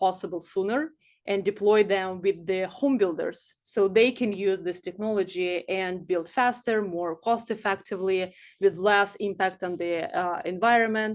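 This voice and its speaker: Against a quiet background, a woman with a medium pitch talks at a moderate pace with fairly even intonation. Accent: Russian. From Siberia, Russia. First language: Russian. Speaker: startup founder. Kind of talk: presentation. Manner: hesitant, many fillers.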